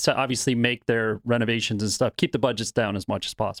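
The recording is very clean against a silent background. In it, a man speaks very fast. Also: dry, close sound with no echo. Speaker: podcast host. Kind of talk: casual interview chat.

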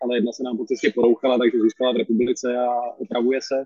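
A man with a medium pitch speaks at a very fast pace in a monotone, flat intonation. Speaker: vice-chair of a volunteer aid organization. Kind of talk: interview.

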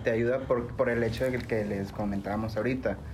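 Audible room echo surrounds a man of medium pitch who talks at a moderate pace with fairly even intonation. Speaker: CBD business owner. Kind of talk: casual interview.

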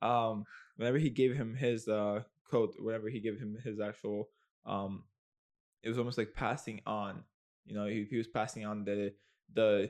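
In a quiet background, a man uses a normal speaking voice at medium pitch. He goes at a fairly quick pace with fairly even intonation. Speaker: podcast host. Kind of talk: casual chat.

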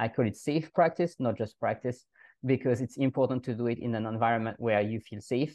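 A man talks at a fairly quick pace. He has a French accent. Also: medium pitch for a man, ordinary pitch variation. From France. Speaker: language coach. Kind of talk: casual interview.

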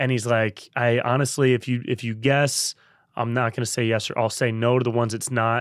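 Flat, monotone delivery from a man with an American accent, medium in pitch, at a fairly quick pace, in a very clean recording with a silent background. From Northern California (Davis, near Sacramento). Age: 30s. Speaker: podcast host and comedian. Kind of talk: casual chat.

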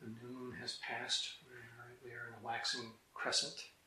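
Audible room echo surrounds a man's speech. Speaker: Zen teacher. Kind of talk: dharma talk.

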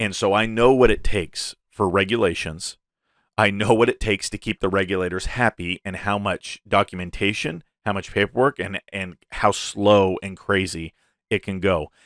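In an unremarkable speaking voice, a man talks at a moderate pace with a fairly low pitch and fairly even intonation. The sound is dry and close, with no echo. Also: very clean recording, silent background. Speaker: crypto podcast host. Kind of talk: solo show commentary. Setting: YouTube video podcast. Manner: casual, filler-heavy.

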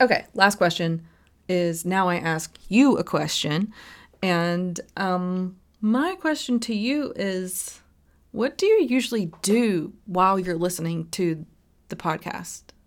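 A woman speaks at a very slow pace and medium pitch, with ordinary pitch variation. The recording is very clean, with a silent background. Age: 30s. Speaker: podcast host. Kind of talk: casual monologue to listeners. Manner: hesitant, many fillers.

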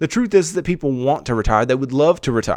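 With a plain, everyday voice, a man talks at a fairly quick pace and with lively intonation against a quiet background. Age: 20s. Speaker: personal finance podcast host. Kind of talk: solo podcast monologue. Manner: many filler uhs.

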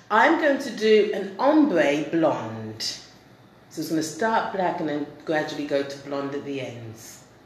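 Over noticeable background noise, a woman with a very deep, low pitch speaks at a fairly slow pace, with lively intonation and big swings in loudness. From England. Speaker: comedian. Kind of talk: casual chat interview.

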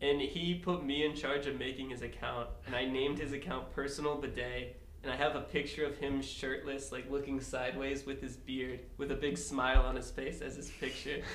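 Over noticeable background noise, a man talks at a moderate pace with hardly any pauses, his fairly high pitch held in a monotone, flat intonation. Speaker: podcast guest. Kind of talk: casual banter.

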